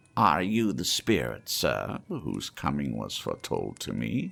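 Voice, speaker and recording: Putting on a character voice, a man speaks at a fairly slow pace in a very deep, low pitch with very wide pitch swings. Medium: read story.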